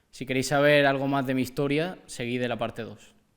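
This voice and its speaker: Monotone, flat intonation marks a man's fairly quick delivery at a medium pitch. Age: 20s. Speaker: young person sharing personal story. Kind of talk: testimony.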